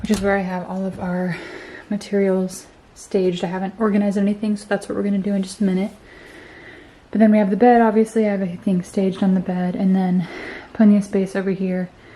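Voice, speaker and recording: Soft-spoken and somewhat breathy, a woman talks very fast in a medium-pitched, dark, mellow voice with monotone, flat intonation. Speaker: vlogger. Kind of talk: casual vlog talk to camera. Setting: at home, bedroom. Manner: soft-spoken, talking quietly.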